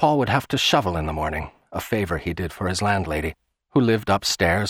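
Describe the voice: Someone is doing plain reading aloud, the intonation lively. Little else is heard, as the background stays quiet.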